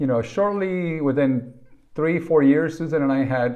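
A man talks at a moderate pace over a quiet background. His pitch is fairly high for a man and varies in an ordinary way. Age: 50s. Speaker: wellness podcaster. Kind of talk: personal monologue; casual vlog chat. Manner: halting. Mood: earnest, reflective. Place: home room. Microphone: webcam.

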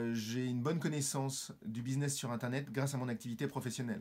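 This is a man speaking. He talks at a moderate pace. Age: 50s. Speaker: business owner, course student. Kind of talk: testimonial. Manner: formal. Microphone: phone near.

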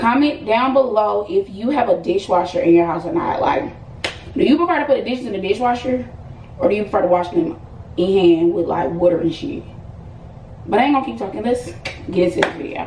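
The speech moves at a fairly quick pace. Audible room echo and light background noise accompany it. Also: woman. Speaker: lifestyle vlogger. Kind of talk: casual vlog chat. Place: home room. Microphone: camera far.

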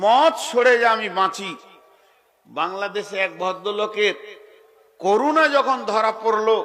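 A man speaking high for a male voice, his pitch varying in an ordinary way. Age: 60s. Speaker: Islamic preacher. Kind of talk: sermon. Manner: animated.

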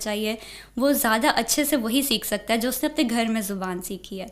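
This woman has a high-pitched voice and speaks fairly slowly. Her pitch rises and falls in an ordinary way. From Pakistan, Punjab (Lahore, Okara); Punjab, Pakistan. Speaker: university student; interviewee. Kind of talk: interview. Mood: calm, warm. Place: studio. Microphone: studio mic.

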